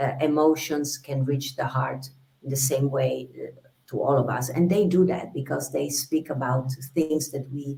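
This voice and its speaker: A woman's very deep, low pitch in a dark, mellow tone, somewhat breathy, with fairly even intonation at a moderate pace. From Italy, Venice. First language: Italian. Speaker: singer. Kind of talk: interview. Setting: video call from her bedroom.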